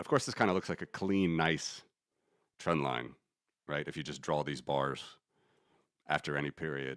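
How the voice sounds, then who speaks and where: The pitch shows ordinary variation. Vocal fry runs through the voice. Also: man. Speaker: finance streamer, market analyst. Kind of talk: live stream chart analysis. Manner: fast; casual, conversational.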